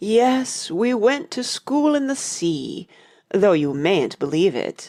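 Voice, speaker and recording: A female-sounding voice in a put-on character voice, with a fairly high pitch and very wide pitch swings. The pace is fairly slow. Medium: audio drama. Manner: mournful, sighing.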